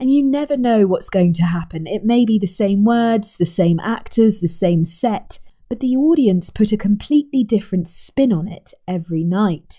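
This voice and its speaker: Somewhat breathy, a woman with a dark, mellow tone speaks at a moderate pace with lively intonation. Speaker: communication coach and trained actress. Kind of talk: coaching talk to camera.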